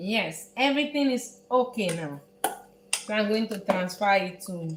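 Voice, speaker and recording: There is noticeable background noise. Through it, a woman talks with lively intonation. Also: medium pitch for a woman, fairly slow pace. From Netherlands. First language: Dutch. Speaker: chef. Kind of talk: cooking tutorial. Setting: home kitchen, live stream. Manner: halting.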